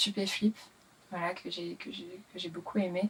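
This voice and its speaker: This woman talks at a fairly quick pace. Her pitch is medium, and her intonation stays fairly even. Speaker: singer-songwriter and rapper. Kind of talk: interview. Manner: hesitant, many fillers.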